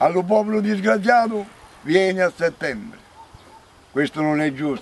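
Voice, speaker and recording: A man speaks with a Salentino accent at a moderate pace. His pitch is high, and his intonation is lively. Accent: Salentino southern Italian dialect. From Salento, southern Italy (Galatone); Salento, Italy. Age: 70s. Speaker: elderly farm worker. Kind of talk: testimony; interview answer. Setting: outdoors. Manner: animated; halting. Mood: indignant, venting frustration. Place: farm machine.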